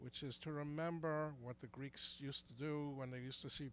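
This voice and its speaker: A man with a fairly high pitch. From New York, Brooklyn. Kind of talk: street interview. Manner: halting, many restarts.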